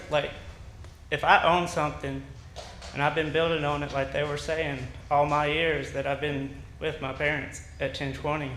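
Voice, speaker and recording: A man with an Alabama accent speaks in a fairly high pitch with flat, monotone intonation. Long, frequent pauses break his speech amid audible room echo. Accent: Southern US (Alabama). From US South. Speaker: resident speaking at public hearing. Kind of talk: public comment. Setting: city council meeting. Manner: halting.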